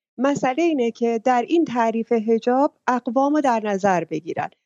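The woman's voice sits high in pitch, varying in an ordinary way as she talks. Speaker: audience participant. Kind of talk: call-in opinion. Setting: online audio room.

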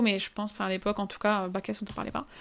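A woman's medium-pitched, very fast, flat and monotone delivery on a very clean recording with a silent background. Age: 20s. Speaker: life coach. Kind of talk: interview.

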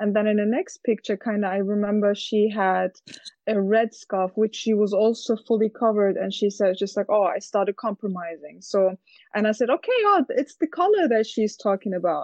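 An ordinary speaking voice, a woman's fairly high pitch with ordinary variation, very even loudness and a moderate pace. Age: 20s. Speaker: university student. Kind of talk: group discussion.

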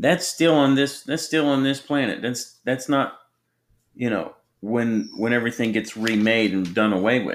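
Recorded very cleanly against a silent background, an ordinary speaking voice moves at a moderate pace with ordinary pitch variation. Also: man, medium pitch for a man. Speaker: ministry podcast co-host. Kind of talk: sermon.

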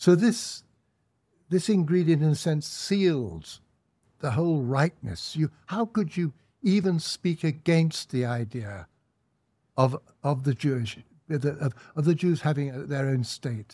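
A man with an English accent, fairly high-pitched and somewhat breathy, dark and mellow in tone, with lively intonation, a fairly slow pace and long, frequent pauses, in a very clean recording with a silent background and a dry, close sound with no echo. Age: 80s+. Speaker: author and commentator. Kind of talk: interview.

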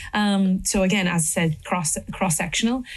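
A woman with an Irish accent speaks at a medium pitch and a fairly quick pace. Her voice is somewhat breathy, with fairly even intonation. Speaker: politician. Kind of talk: panel discussion. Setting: stage with audience. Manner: halting.

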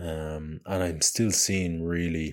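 A man speaks in an Irish accent with a very deep, low pitch. His pace is very slow. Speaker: adventurer and podcast host. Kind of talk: casual monologue. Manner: halting, many fillers.

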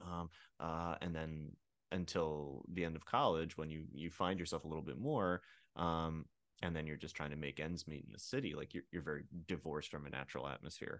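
At a fairly quick pace, a man with a very deep, low pitch speaks with fairly even intonation. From rural Pennsylvania, US. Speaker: actor, writer and comedian. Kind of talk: casual interview. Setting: video call.

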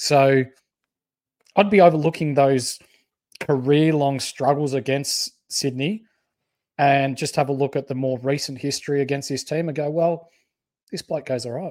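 Pausing long and often, a man with an Australian accent speaks in a fairly high pitch. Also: fairly even intonation, moderate pace. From country Victoria, Australia (Bendigo). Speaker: fantasy sports podcast co-host. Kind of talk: casual chat. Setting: live stream.

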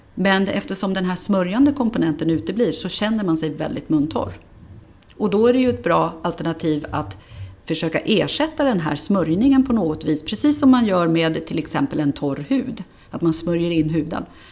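A woman's fairly low pitch at a moderate pace, with very wide pitch swings. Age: 50s. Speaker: dentist and dental researcher. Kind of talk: interview. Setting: on site at a dental clinic.

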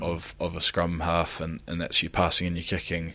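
A man's very deep, low voice in a New Zealand accent, bright and sharp in tone, at a fairly quick pace, in a very clean recording with a silent background. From New Zealand, Christchurch. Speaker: rugby player. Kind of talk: interview. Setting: in Japan.

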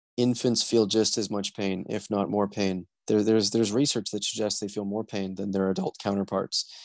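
An unremarkable speaking voice moves at a moderate pace with fairly even intonation against a quiet background. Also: man. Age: 20s. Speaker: genital autonomy activist. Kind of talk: interview.

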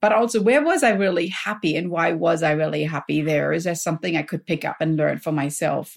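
In a very clean recording with a silent background, a woman with a fairly low pitch and vocal fry talks at a fairly quick pace with hardly any pauses and ordinary pitch variation. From Germany. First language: German. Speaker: health coach and professor. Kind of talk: podcast interview. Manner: enthusiastic.

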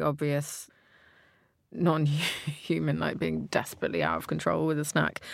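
A woman with a British accent talks at a fairly quick pace. The recording is very clean with a silent background. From Britain. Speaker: podcast host. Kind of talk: casual chat.

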